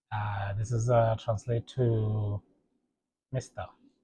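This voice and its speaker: In a dry, close recording with no echo, a man speaks very slowly in a somewhat breathy, dark, mellow tone with monotone, flat intonation. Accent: Botswana. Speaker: language teacher. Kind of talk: tutorial. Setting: home, kids' play area. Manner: halting, repetitive.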